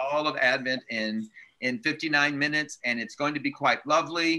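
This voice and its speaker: A man's bright, sharp voice moves at a moderate pace with ordinary pitch variation. The background is quiet. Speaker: church leader hosting the meeting. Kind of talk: casual announcements. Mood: upbeat, laughing. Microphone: video call.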